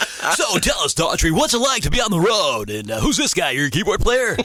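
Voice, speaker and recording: The speaker uses a put-on character voice. The delivery moves at a fairly quick pace. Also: man, high pitch for a man. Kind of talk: radio host patter. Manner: cheesy, fake-friendly.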